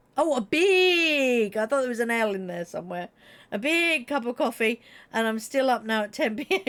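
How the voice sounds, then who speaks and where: Someone with a British accent talks fairly slowly in an animated tone with lively intonation. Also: woman. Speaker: gaming streamer. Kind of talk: casual chat.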